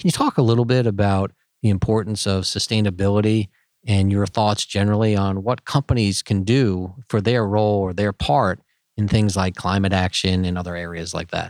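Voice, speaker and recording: Fairly low in pitch, a man talks at a fairly quick pace in an unremarkable speaking voice with fairly even intonation. The recording is very clean with a silent background, and the sound is dry and close with no echo. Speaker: corporate executive, co-interviewer. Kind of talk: interview.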